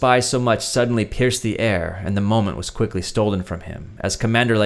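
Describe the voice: Plain reading aloud goes on with fairly even intonation.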